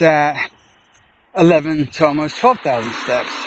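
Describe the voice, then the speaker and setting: The speaker is a man. His voice sits at a fairly high pitch. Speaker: livestreamer. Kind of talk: casual chat. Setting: outdoors. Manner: loud.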